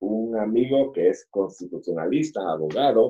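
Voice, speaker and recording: The speaker is a man with a dark, mellow tone. He talks at a fairly slow pace with lively intonation. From Guatemala. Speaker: infectious disease doctor. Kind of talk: radio interview.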